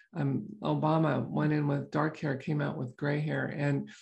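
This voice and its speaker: A woman's moderately paced speech comes over a quiet background. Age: 60s. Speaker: podcast host and chiropractor. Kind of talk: casual health podcast monologue. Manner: conversational with fillers.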